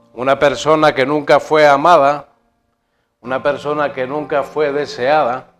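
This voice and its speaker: Music plays behind a man speaking at a fairly slow pace. His fairly high voice stays monotone and flat. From Spain (León). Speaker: guest preacher giving testimony. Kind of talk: testimony.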